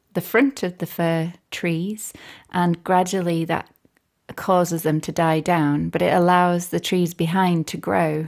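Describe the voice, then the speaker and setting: A woman with a North Yorkshire accent speaks at a fairly slow pace and a fairly low pitch. Her pitch varies in an ordinary way, and the recording is very clean with a silent background. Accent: broad northern Yorkshire. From Yorkshire (Barnsley), born Northern Ireland. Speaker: composer and musician. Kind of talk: casual interview chat.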